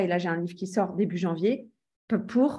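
A woman's ordinary speaking voice, medium in pitch, at a fairly quick pace with ordinary pitch variation. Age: 30s. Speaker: real estate trainer and entrepreneur. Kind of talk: interview.

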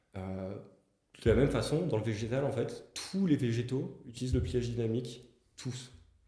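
This man has a dark, mellow, somewhat breathy tone at medium pitch, talking at a moderate pace with ordinary pitch variation and audible room echo. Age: 20s. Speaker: engineer and start-up founder. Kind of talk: interview podcast.

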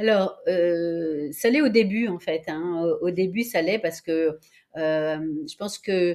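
At a very slow pace, a woman speaks at a medium pitch with lively intonation. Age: 60s. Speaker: professional coach. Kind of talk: interview.

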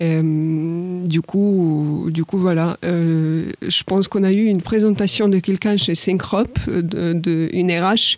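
Speaking very slowly, a woman with a fairly low pitch keeps her loudness very even and her intonation fairly even. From Ukraine. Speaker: agri-business professional, alumna. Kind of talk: interview. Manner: hesitant, many fillers.

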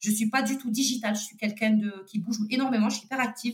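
A woman speaks in a fairly high, somewhat breathy voice. Her intonation stays fairly even. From Toulouse, southern France. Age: 30s. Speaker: entrepreneur and single mother. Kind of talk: testimony. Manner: casual, hesitant with many fillers.

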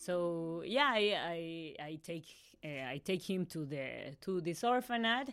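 A woman with a Mexican accent, fairly low in pitch, with lively intonation. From Mexico City, Mexico. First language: Spanish. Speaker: psychologist working with women in prison. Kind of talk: interview testimony. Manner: halting.

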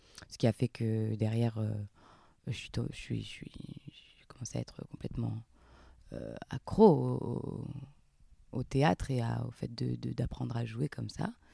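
A woman speaks at a fairly slow pace, with long, frequent pauses. The sound is dry and close, with no echo. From southern France, near Montpellier. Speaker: actress. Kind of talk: interview. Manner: halting.

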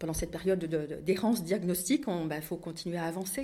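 This is a woman with a fairly low pitch. Her pitch variation is ordinary. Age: 50s. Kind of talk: testimony. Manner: halting.

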